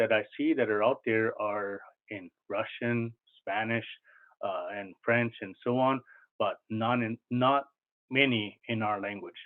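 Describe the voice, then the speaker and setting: A man with a Maritime Canadian accent talks at a fairly slow pace and medium pitch. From Nova Scotia, Canada. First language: Mi'kmaq. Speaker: cultural coordinator. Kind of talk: lecture. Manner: hesitant, many fillers.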